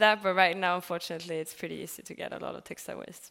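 The recording of this woman is very clean, with total silence behind her voice. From Sweden. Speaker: communications head at recycling company. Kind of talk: conference panel discussion. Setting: stage with audience at conference.

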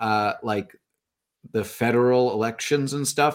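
On a very clean recording with a silent background, a man in an ordinary speaking voice talks at a moderate pace and medium pitch with fairly even intonation. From Canada. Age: 30s. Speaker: podcaster. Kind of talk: casual chat.

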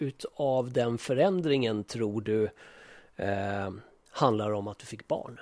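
Dark and mellow in tone, a man's voice carries lively intonation. He speaks at a very slow pace. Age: 40s. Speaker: podcast co-host. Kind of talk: casual chat.

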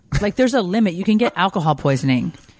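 A woman talks at a fast pace with lively intonation. Her fairly low voice has a slightly mellow tone.

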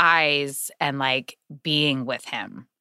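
A woman with an American accent speaks at a very deep, low pitch in a bright, sharp tone. The sound is dry and close, with no echo. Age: 30s. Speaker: podcast guest. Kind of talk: casual chat.

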